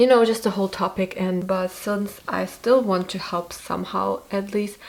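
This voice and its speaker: A woman talking at medium pitch and a moderate pace keeps her intonation fairly even, with noticeable background noise behind her. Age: 20s. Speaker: YouTuber, university student. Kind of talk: casual vlog talk to camera. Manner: casual, reading from notes at times.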